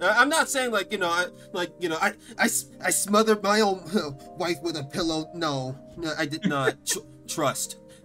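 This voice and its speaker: Over music in the background, a man with a high pitch talks at a moderate pace using lively intonation. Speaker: podcast host. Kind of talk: casual podcast conversation. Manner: stuttering, fumbling words.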